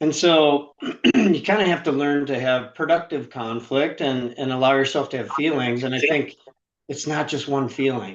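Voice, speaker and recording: A man talks at a moderate pace in an ordinary speaking voice, pitched fairly high, with ordinary pitch variation. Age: 60s. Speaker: author and sales trainer. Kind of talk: interview.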